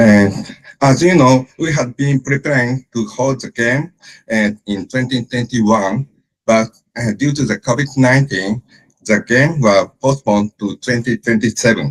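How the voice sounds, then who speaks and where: A man with a Japanese accent at a medium pitch, at a fairly slow pace, in a dry, close sound with no echo. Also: ordinary pitch variation. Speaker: sports event organizer. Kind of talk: presentation. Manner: halting.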